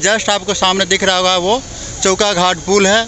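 A man's high-pitched voice at a moderate pace, with little pitch movement, against clear background noise

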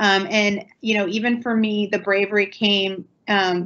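A woman speaks with an American accent. Her intonation is monotone and flat. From central Ohio. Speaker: township trustee; panelist. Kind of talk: panel discussion. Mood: earnest, reflective. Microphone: video call.

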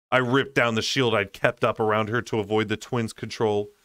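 An unforced reading voice carries the whole clip.

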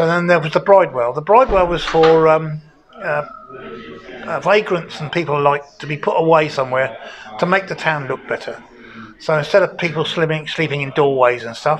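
A man at a fairly quick pace, with ordinary pitch variation and light background noise. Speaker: local history guide. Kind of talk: interview answer. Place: home room. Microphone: lapel.

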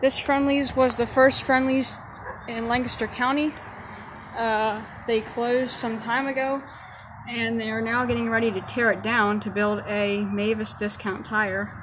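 There is noticeable background noise behind a woman. She talks at a fairly slow pace with fairly even intonation. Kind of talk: casual vlog commentary. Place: street. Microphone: phone near.

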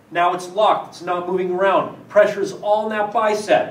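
In a room with audible echo, a man speaks with monotone, flat intonation. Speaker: fitness trainer. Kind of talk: tutorial. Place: gym.

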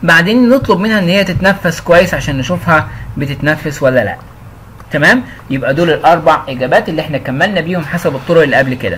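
High in pitch, a man talks with lively intonation at a fairly quick pace. Noticeable background noise is present. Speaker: English teacher. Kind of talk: tutorial. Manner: casual.

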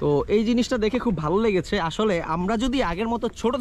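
Light background noise under a man's voice, dry sound with no echo. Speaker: travel vlogger. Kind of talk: casual vlog chat. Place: open country.

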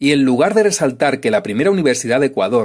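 An ordinary speaking voice, a man's, fairly high in pitch with lively intonation. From Extremadura, Spain. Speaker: YouTube history commentator. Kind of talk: scripted narration.

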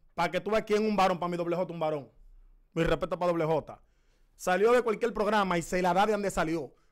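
A man talks at a very fast pace with a high pitch and ordinary pitch variation. The background is quiet. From Dominican Republic. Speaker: comedy show host; podcast guest. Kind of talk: heated confrontational interview; conversational interview talk. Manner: animated. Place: studio. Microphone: studio mic.

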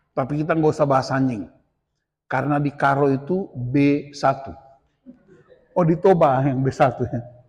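A man's fairly high voice at a fairly slow pace, with ordinary pitch variation and a quiet background. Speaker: pastor. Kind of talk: sermon. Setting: church retreat with audience. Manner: loud; animated. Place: hall.

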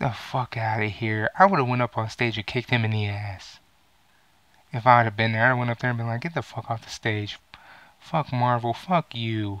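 In a furious tone, a man speaks at a fairly quick pace, and the sound is dry with no echo. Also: ordinary pitch variation. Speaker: gaming and movie vlogger. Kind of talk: angry rant. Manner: loud, profane, furious; animated, sarcastic. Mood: angry, exasperated. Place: home room. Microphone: headset.

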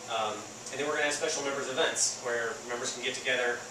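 Noticeable background noise and audible room echo fill the recording. Over it, a man speaks in a flat, monotone way. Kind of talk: interview answer. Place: garage. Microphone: camera far.

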